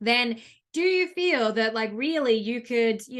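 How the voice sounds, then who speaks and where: A woman's bright, sharp voice with an Australian accent. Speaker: business coach. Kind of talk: online masterclass. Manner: fast; filler-heavy, um and you know.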